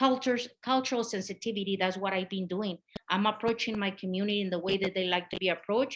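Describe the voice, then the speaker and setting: The speaker goes at a very fast pace in a Spanish accent. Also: woman, medium pitch for a woman. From Mexico. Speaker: community health outreach worker. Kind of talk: conference presentation. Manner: animated.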